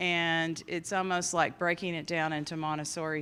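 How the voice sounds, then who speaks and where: A woman with a Southern accent speaks at a very deep, low pitch and a fairly slow pace. Her intonation is monotone and flat, in a very clean recording with a silent background. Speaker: judge, mental health commission chair. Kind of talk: conference opening remarks.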